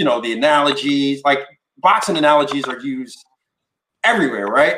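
With an American accent, a man uses a normal speaking voice, fairly high in pitch and lively in intonation. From New York. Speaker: podcast host. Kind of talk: casual chat.

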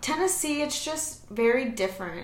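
A woman with a Californian accent speaks with lively intonation in a room with audible echo. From Southern California. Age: 20s. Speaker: young mother and esthetician. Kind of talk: casual interview chat.

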